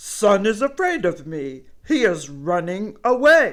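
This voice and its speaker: Put-on character voice, pitched fairly high and delivered fairly slowly. The pitch swings very widely. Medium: read story. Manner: proud, emphatic.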